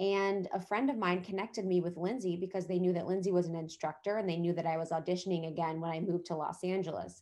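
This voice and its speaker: A woman with an American accent speaks very fast at a fairly low pitch in a dark, mellow tone with fairly even intonation, on a very clean recording with a silent background. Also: hardly any pauses. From US Midwest (Ohio). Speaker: podcast host and wellness entrepreneur. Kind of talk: casual chat.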